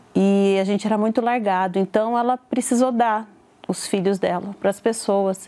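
With a dark, mellow tone and medium pitch, a woman speaks at a moderate pace, her intonation fairly even and her loudness very even. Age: 40s. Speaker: churchgoer giving testimony. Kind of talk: testimony.

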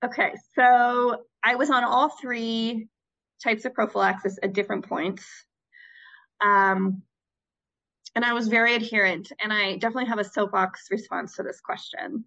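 A woman's fairly high, bright, sharp voice with an American accent, long, frequent pauses and a quiet background. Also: ordinary pitch variation, moderate pace. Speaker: returned Peace Corps volunteer working in global health. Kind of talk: casual interview.

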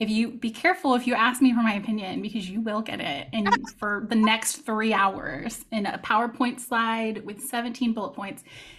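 Here is a woman with a plain, everyday voice, pitched fairly high, speaking with an American accent and ordinary pitch variation. She keeps a moderate pace with hardly any pauses. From Texas. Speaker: fantasy romance author. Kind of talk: casual interview chat. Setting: video call.

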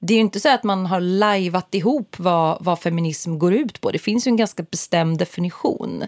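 A woman with an unremarkable speaking voice talks at a moderate pace and medium pitch with ordinary pitch variation and hardly any pauses, in a dry, close sound with no echo and a very clean recording over a silent background. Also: very even loudness. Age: 30s. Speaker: podcast co-host. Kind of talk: casual chat.

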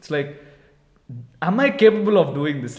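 A man speaks with an Indian accent. His pace is moderate. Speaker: podcast co-host. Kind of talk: casual chat. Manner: loud.

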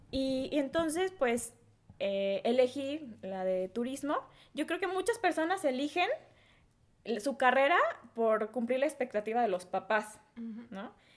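A woman with a Mexican accent speaks at a high pitch with very wide pitch swings. Her pace is fairly slow, broken by long, frequent pauses. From Mexico, Guadalajara (Jalisco). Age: 20s. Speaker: entrepreneur. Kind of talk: interview.

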